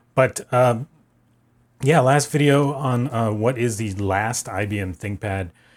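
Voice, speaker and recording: The recording is very clean with a silent background as a man speaks at a medium pitch. He uses ordinary pitch variation at a fairly slow pace. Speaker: tech YouTuber. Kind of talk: casual unscripted vlog talk. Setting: home office. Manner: many fillers and pauses.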